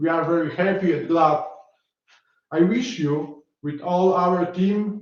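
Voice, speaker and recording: A man in a Polish accent, high pitch, very slow pace and audible room echo. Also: ordinary pitch variation. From Poland. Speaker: academic conference organizer. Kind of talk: formal opening speech. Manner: formal; halting.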